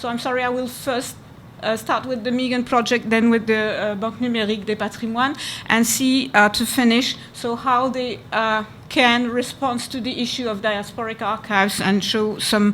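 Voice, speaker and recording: A woman's fairly high voice with a French accent, monotone and flat in intonation, with audible room echo. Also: moderate pace. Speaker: archivist. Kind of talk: conference presentation. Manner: halting.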